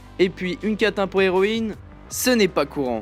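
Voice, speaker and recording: A man talks with lively intonation while background music plays. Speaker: YouTube anime reviewer. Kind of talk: anime review voice-over.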